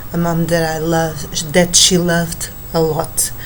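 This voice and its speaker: A woman with a non-native accent and fairly low pitch speaks at a very slow pace. Audible room echo and noticeable background noise are present. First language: Portuguese. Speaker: book vlogger. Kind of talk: book review monologue. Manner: halting, many fillers.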